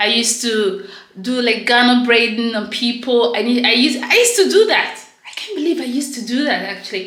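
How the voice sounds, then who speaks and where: With a Nigerian accent and a high pitch, a woman speaks amid audible room echo and noticeable background noise. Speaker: vlogger. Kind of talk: casual vlog talk to camera. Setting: at home, in her bathroom. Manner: loud.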